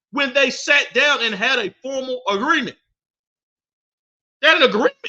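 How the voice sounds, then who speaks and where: A raised, projected, animated voice with a bright, sharp tone at a moderate pace. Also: man, extremely high pitch for a man, ordinary pitch variation. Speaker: podcast host. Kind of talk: casual monologue podcast. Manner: loud.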